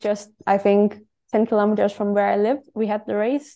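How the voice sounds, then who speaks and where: Speaking in a Danish accent, a woman has a dark, mellow tone, a medium pitch and a monotone, flat intonation. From Denmark. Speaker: professional cyclist. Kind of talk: interview.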